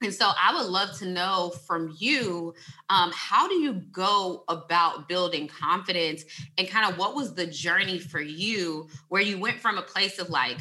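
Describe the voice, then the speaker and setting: An unremarkable speaking voice from a woman, medium in pitch, with ordinary pitch variation and a fairly slow pace. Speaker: podcast host. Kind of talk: casual interview chat.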